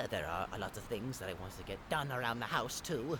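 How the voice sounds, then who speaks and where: A man puts on a character voice at medium pitch. He speaks at a fairly quick pace over loud background noise. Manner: upbeat.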